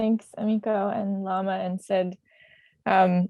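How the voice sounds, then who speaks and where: Her pitch medium, a woman talks in a Canadian accent. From Canada. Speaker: community worker. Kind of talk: panel talk from notes. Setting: video call.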